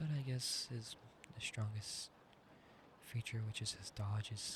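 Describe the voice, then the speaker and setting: Somewhat breathy and soft-spoken, a man talks at a moderate pace with a medium pitch and ordinary pitch variation. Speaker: ASMR creator. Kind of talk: sleep-aid roleplay chat.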